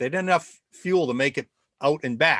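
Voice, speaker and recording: Recorded with a dry, close sound, no echo and a quiet background, a man with a Rhode Island accent talks at a fairly quick pace. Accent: Rhode Island accent, somewhat tempered. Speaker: think tank host, former ballplayer. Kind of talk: casual webcast monologue. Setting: live video stream. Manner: halting, many repetitions and fillers.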